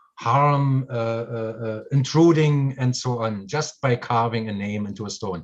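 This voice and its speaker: A man speaks with a German accent. His voice is fairly low. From Germany. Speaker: spiritual course teacher. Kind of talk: live stream chat. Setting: video call live stream.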